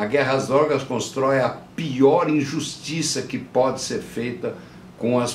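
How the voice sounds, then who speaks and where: Very slow speech with audible room echo and noticeable background noise. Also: man. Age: 70s. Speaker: counterculture activist and producer. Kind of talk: interview testimony. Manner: halting with frequent repetitions.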